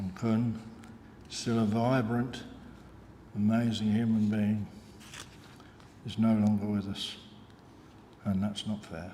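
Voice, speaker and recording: A man at a fairly low pitch, very slow with long, frequent pauses, monotone and flat in intonation, with audible room echo. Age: 80s+. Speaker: retired lab technician, eulogist. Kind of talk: eulogy. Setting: funeral service. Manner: halting.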